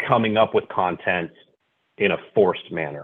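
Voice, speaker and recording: In a plain, everyday voice, a man with an American accent talks at a moderate pace, fairly low in pitch and with lively intonation. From Northern California. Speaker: loan officer. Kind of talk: casual chat.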